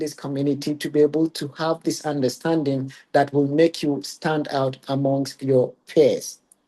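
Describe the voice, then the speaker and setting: Hardly pausing at all, a man with a Ghanaian accent speaks at a moderate pace in a fairly high voice with a dark, mellow tone. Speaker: regional curator. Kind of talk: webinar presentation.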